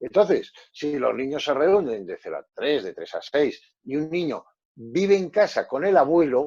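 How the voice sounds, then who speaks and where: A man at a fairly slow pace. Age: 60s. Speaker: psychologist. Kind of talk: panel discussion.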